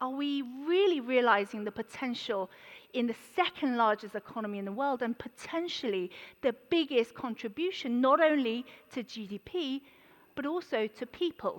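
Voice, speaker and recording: A woman talks with lively intonation at a high pitch. The sound is dry and close with no echo. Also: moderate pace. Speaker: economist giving conference presentation. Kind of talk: conference presentation. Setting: stage at conference.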